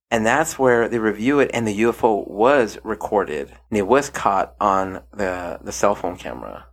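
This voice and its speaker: In a very clean recording with a silent background, a man with a normal speaking voice and fairly low pitch talks at a moderate pace. He shows ordinary pitch variation and hardly any pauses. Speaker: podcast host. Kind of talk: casual podcast chat reviewing a TV docuseries.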